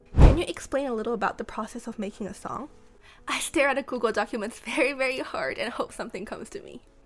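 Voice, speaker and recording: Over background music, a woman with a high pitch talks at a very fast pace, her intonation lively and her loudness swinging widely. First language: not Japanese, unnamed language. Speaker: song lyricist. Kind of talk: interview answers.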